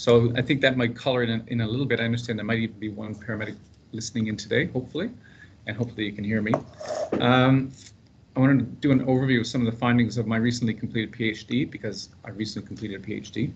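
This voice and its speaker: Over noticeable background noise and audible room echo, a man with a Canadian accent speaks at a very fast pace. His pitch is medium and his intonation fairly even. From Canada, Prince Edward Island. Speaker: paramedic researcher. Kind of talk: seminar presentation. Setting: conference room with live and online audience. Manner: casual, humorous.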